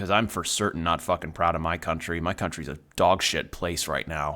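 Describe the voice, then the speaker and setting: Bright and sharp in tone, a man with an American accent speaks at a moderate pace on a very clean recording with a silent background. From Texas, suburbs of a major city. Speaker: video game streamer. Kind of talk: casual gaming livestream chat.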